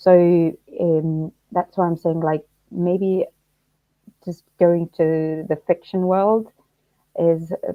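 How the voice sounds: Slow speech from a woman, fairly low in pitch with little pitch movement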